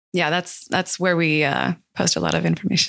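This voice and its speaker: Against a very clean recording with a silent background, a woman speaks in a bright, sharp tone. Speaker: e-commerce co-op founder. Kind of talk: interview. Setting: studio. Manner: fast.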